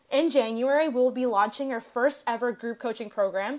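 High pitch from a woman, fairly quick pace, ordinary pitch variation. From Canada. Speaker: fitness and business coach. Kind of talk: scripted testimony segment.

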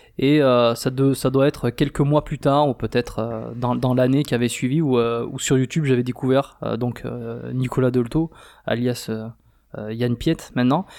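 Over a silent background in a very clean recording, a man speaks at a fairly slow pace and medium pitch. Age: 30s. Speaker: podcast co-host, dating coach. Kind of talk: casual chat. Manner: animated.

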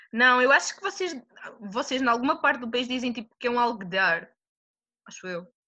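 A woman speaks in a high pitch with a bright, sharp tone and lively intonation. Her loudness swings widely, and she takes long, frequent pauses. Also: fairly quick pace. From Madeira, Portugal. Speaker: student. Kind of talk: casual interview. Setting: video call.

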